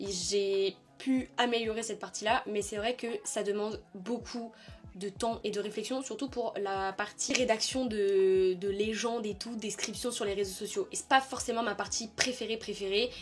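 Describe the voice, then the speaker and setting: Over music in the background, a woman speaks at a fairly slow pace with fairly even intonation. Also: fairly high pitch for a woman. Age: 20s. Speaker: YouTuber, communications officer. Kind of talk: casual vlog talk. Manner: hesitant, many fillers.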